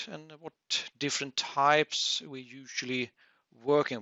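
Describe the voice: A man talks at a fairly slow pace with a bright, sharp tone. The sound is dry and close, with no echo.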